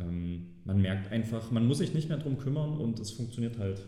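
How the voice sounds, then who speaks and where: With a dark, mellow tone and a somewhat breathy quality, a man speaks at a moderate pace and fairly low pitch, his pitch varying in an ordinary way amid audible room echo. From Saxony, Germany. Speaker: personal finance guest. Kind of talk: interview. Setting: office.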